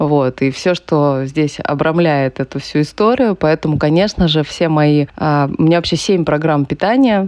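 With a very deep, low pitch and ordinary pitch variation, a woman speaks at a moderate pace in a dry, close sound with no echo, over noticeable background noise. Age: 30s. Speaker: entrepreneur and amateur runner, blogger. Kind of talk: casual interview.

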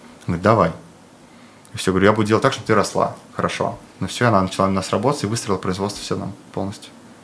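Speaking at a very fast pace yet with long, frequent pauses, a man uses a fairly low pitch and fairly even intonation. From Bashkortostan, Russia (Ufa). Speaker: clothing brand co-founder, entrepreneur. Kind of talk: casual interview.

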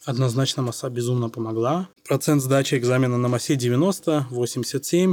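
A man of medium pitch has an unremarkable speaking voice with ordinary pitch variation. He keeps a moderate pace with hardly any pauses. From Saint Petersburg, Russia. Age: 20s. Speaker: doctor. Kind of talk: casual interview.

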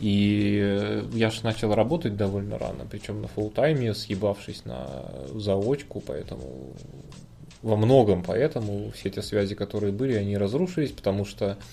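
A man talks quietly at a fairly low pitch. His intonation is lively. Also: moderate pace. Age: 30s. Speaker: podcast co-host. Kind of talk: casual chat. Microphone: quiet microphone.

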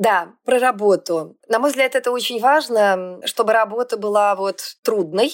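At a moderate pace, a woman with a normal speaking voice talks at a medium pitch with ordinary pitch variation. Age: 50s. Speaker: factory owner and CEO. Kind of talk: casual interview.

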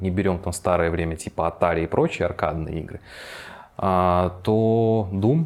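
Very deep, low pitch in a man's voice, its pitch moving in an ordinary way. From Belarus, Minsk. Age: 20s. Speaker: game developer. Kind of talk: interview.

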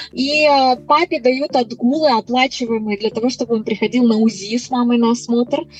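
Noticeable background noise sits behind the voice. Delivery is moderate in pace, with ordinary pitch variation. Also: woman, high pitch for a woman. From Moldova. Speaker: immigration consultant. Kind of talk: interview.

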